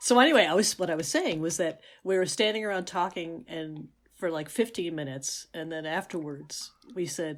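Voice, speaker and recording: At a moderate pace, a woman with an American accent speaks in a plain, everyday voice at a medium pitch, in a very clean recording with a silent background. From New York City. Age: 60s. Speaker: podcast co-host. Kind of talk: casual chat.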